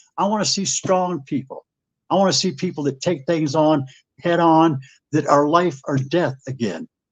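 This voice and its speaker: An American accent marks this man's ordinary speaking voice, which sits at a fairly high pitch with ordinary pitch variation and moves at a moderate pace. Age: 60s. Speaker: conservative radio host. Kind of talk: heated debate.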